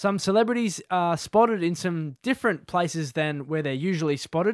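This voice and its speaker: The recording is very clean with a silent background and a dry, close sound with no echo. A man speaks at a fairly quick pace with ordinary pitch variation. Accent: Australian. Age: 20s. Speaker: podcast host. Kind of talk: casual chat. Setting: studio.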